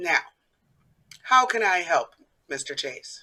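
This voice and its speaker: A raspy, put-on character voice at a middle pitch speaks at a fairly slow pace. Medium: stage play. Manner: suave, mocking.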